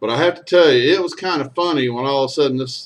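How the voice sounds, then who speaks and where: A man's medium-pitched voice with ordinary pitch variation at a fairly quick pace. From Texas. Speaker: storyteller and singer. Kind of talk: casual storytelling monologue.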